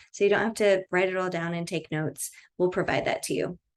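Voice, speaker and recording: A woman's mid-range voice comes through over a quiet background. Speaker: Akashic records reader. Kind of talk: tutorial. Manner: fast; casual, many filler words.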